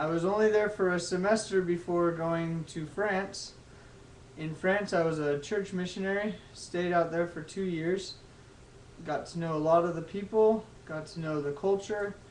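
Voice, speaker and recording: With an American accent, a man speaks at a moderate pace in a high pitch, his intonation fairly even, with audible room echo around him. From Texas. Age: 20s. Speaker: college student. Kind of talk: class speech. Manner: halting.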